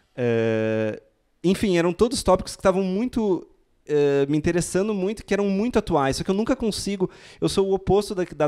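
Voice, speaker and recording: Over a silent background in a very clean recording, a man speaks at a fairly quick pace with lively intonation. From southern Brazil, Rio Grande do Sul. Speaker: novelist. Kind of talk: panel talk. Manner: halting, many repetitions.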